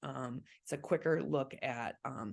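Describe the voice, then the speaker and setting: A woman talks with vocal fry. The background is quiet. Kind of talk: online training presentation.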